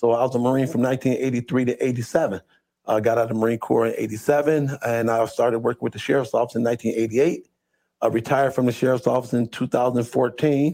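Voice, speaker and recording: A man's dark, mellow voice at a very fast pace, with fairly even intonation and very even loudness. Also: medium pitch for a man. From Toledo, Ohio. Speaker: deputy sheriff and school resource officer. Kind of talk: interview conversation.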